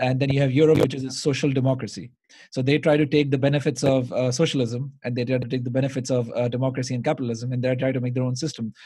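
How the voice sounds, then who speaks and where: A man talks at a very fast pace and a medium pitch, somewhat breathy, with a dark, mellow tone. His intonation is monotone and flat, over a quiet background. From Pakistan. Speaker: podcast host. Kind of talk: casual interview chat. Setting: remote recording during lockdown.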